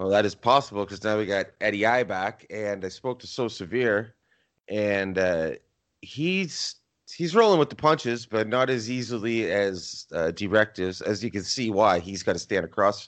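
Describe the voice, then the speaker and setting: With a Canadian accent, a man speaks in a normal speaking voice at a moderate pace, his fairly low pitch showing ordinary variation. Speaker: podcast host. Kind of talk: casual podcast recap.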